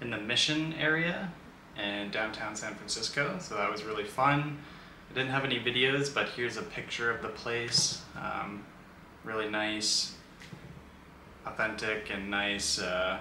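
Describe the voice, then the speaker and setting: Amid light background noise and audible room echo, a man speaks at a fairly slow pace with ordinary pitch variation and long, frequent pauses. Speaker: travel vlogger. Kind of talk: casual vlog chat. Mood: relaxed, friendly. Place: home room.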